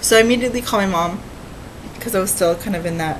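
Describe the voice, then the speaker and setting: A woman's fairly low voice at a fairly quick pace with ordinary pitch variation, amid noticeable background noise and audible room echo. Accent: American. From California. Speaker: cross-stitch vlogger. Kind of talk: casual vlog chat. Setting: at home, dining room table.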